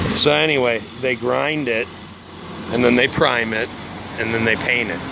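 Noticeable background noise sits under a man talking at a moderate pace, with a dry sound and no echo. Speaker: contractor painting. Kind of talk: casual vlog chat. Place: street. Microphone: phone near.

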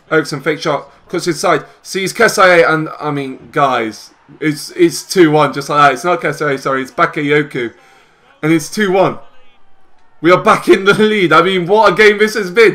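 This man has a British accent and a high pitch. He speaks at a moderate pace with ordinary pitch variation. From UK. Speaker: gaming YouTuber. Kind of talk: casual gameplay commentary with live match commentary. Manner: animated, excitable match-call delivery; chatty, upbeat, addresses viewers. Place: home room.

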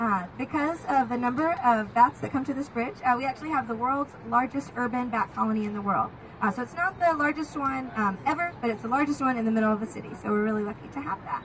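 A high-pitched woman talks at a very fast pace with hardly any pauses and ordinary pitch variation, with light background noise behind her. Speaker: boat tour guide. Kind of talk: tour guide commentary. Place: boat.

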